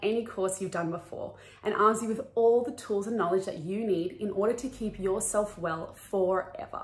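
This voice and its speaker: A woman at a moderate pace, her pitch varying in an ordinary way. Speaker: wellness course creator.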